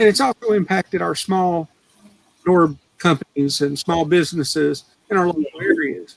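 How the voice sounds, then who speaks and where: The speech moves at a fairly slow pace, with a dry, close sound and no echo. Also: man. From US South, Cleveland, Tennessee. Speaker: angler, Navy veteran. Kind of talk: casual chat on livestream. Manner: halting, many fillers.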